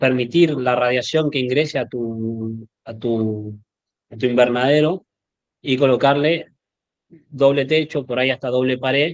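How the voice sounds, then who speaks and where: A man speaks at a fairly slow pace. His medium-pitched voice has fairly even intonation. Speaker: agronomist and sales representative. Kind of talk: expert Q&A in an online meeting. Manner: halting, many repeated words.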